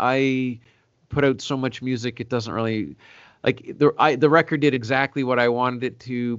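A man with a Canadian accent and an unremarkable speaking voice, at a medium pitch and a moderate pace. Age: 40s. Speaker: singer-songwriter. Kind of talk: casual interview.

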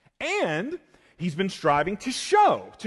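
This man speaks at a fairly slow pace with an American accent. His pitch is high for a man. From US South, rural South Georgia. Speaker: pastor. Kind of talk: sermon. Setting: church.

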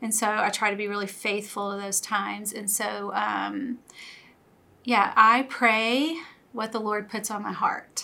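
With an American accent and a normal speaking voice, a woman talks at a fairly slow pace in a fairly high pitch with fairly even intonation. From US South (Louisiana). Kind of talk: testimony.

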